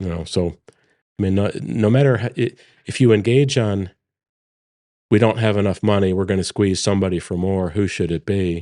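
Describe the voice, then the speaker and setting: A man speaks at a moderate pace with a fairly low pitch, ordinary pitch variation and a dark, mellow tone. He leaves long, frequent pauses against a quiet background. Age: 60s. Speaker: energy company executive. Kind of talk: interview.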